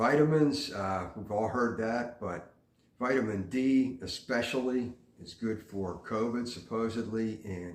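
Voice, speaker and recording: Pitch variation is ordinary, and room echo is audible. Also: man. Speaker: vlogger giving life advice. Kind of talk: casual monologue. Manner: frequent fillers (uh, um).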